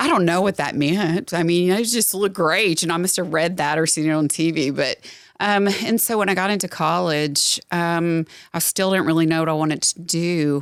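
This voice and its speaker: Her loudness stays very even as she talks at a moderate pace. The woman has a fairly low pitch and a Southern US accent. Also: ordinary pitch variation. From Southwest Louisiana, moved to Middle Tennessee as a child. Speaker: nurse practitioner. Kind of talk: podcast interview. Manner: casual, with fillers.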